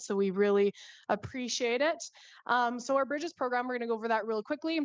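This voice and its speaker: At a fairly quick pace, a woman with a Canadian accent speaks with ordinary pitch variation. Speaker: nonprofit co-founder presenting to council. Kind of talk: council presentation. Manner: fast.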